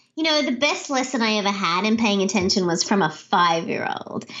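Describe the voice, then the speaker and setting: Fairly high, lively intonation from a woman at a fairly quick pace, over noticeable background noise. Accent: Australian. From Australia, Sydney. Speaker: leadership speaker and author. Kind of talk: interview. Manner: animated.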